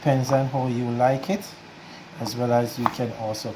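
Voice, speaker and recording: A man's medium-pitched voice at a fairly slow pace amid noticeable background noise and audible room echo. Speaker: home cook. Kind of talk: cooking tutorial.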